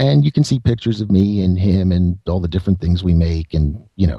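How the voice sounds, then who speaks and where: A man's very deep, low voice, dark and mellow in tone, somewhat breathy, with ordinary pitch variation. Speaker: guest musician and writer. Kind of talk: casual interview chat. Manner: laid-back, unconcerned.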